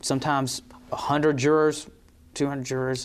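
A man in a North Carolina accent, medium pitch and fairly even intonation. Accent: Southern US (North Carolina). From North Carolina, Rockingham County. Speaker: district attorney. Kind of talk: interview. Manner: halting, many fillers.

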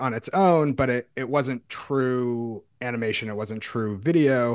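In an ordinary speaking voice, a man talks at a fairly slow pace in a medium pitch with ordinary pitch variation, the sound dry and close with no echo over a quiet background. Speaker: independent filmmaker. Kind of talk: interview.

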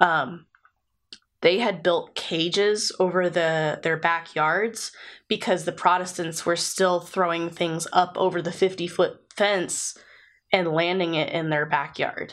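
Speaking at a very slow pace, a woman with an American accent keeps a fairly low pitch and fairly even intonation. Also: quiet background. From USA. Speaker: podcast co-host. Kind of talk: casual chat. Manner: coughing.

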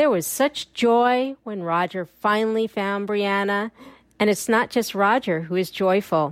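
A woman with an American accent speaks fairly slowly at a medium pitch with ordinary pitch variation, in a plain, everyday voice. The recording is very clean with a silent background and a dry, close sound with no echo. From New York, Long Island. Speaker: listener giving voice feedback. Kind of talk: read-out voice message.

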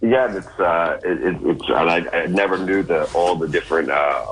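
Noticeable noise sits in the background. Over it, a man talks at a moderate tempo. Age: 40s. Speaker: guest. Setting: phone call.

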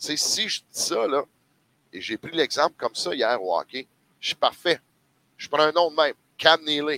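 At a moderate pace, a man with a fairly high, bright, sharp voice and vocal fry speaks with lively intonation, big swings in loudness and long, frequent pauses, in a dry, close sound with no echo. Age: 50s. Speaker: sports commentator. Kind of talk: casual chat.

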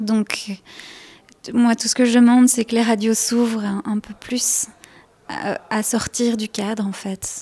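A woman speaks very slowly at a fairly high pitch, her flat, monotone delivery broken by long, frequent pauses. The sound is dry and close with no echo, though noticeable background noise is present. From Belgium. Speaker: folk singer. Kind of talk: interview.

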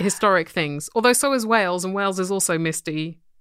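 Here a woman speaks at a fairly quick pace with an English accent. Her pitch varies in an ordinary way. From England. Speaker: podcast co-host. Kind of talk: casual chat.

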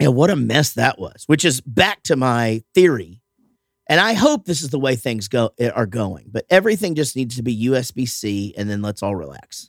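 A man with a medium-pitched voice speaks at a moderate pace with very wide pitch swings, recorded very cleanly against a silent background with a dry, close sound and no echo. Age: 50s. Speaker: podcast host and musician. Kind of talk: casual chat.

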